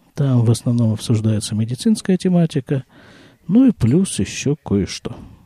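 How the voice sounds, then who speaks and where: In a dry, close recording with no echo, a man speaks at medium pitch and a moderate pace, relaxed and somewhat breathy, his dark, mellow tone moving through very wide pitch swings. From Krasnoyarsk, Siberia, Russia. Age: 50s. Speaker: podcaster. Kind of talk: solo monologue podcast, casual. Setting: home, family sounds in background. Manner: relaxed, conversational, reflective.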